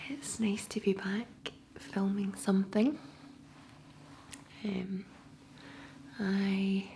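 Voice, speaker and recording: Soft-spoken, a woman with a Scottish accent talks at a very slow pace in a medium pitch with ordinary pitch variation. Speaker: ASMR creator. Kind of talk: ASMR soft-spoken talk to camera.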